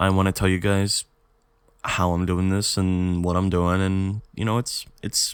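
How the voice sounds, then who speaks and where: On a very clean recording with a silent background, a man talks at a moderate pace in a very deep, low pitch. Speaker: podcast host. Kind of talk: casual monologue podcast. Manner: rambling with many fillers; halting with self-corrections.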